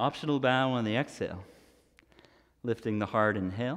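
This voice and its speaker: Calm in tone, a man talks at a moderate pace against a quiet background. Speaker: yoga instructor. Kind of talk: guided yoga class, cueing poses and breath. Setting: streaming live from a yoga studio. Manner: instructional, calm and steady, with a brisk rhythmic cadence. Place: home room.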